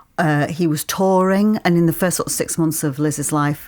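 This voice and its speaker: A woman with a Yorkshire accent speaks at a very deep, low pitch with fairly even intonation. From Yorkshire, Leeds. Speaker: actor and playwright. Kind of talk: interview. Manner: halting.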